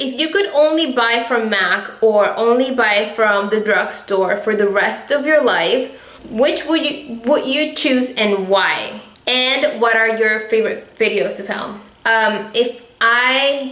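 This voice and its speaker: Speaking at a fairly slow pace, a woman uses a fairly high pitch. Audible room echo and noticeable background noise surround her voice. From Venezuela. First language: Spanish. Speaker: beauty vlogger. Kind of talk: casual Q&A vlog. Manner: animated.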